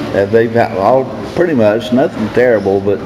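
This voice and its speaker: A medium-pitched male voice with ordinary pitch variation, audible room echo and noticeable background noise. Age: 70s. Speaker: recovery speaker. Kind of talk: testimony. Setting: stage with audience. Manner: loud.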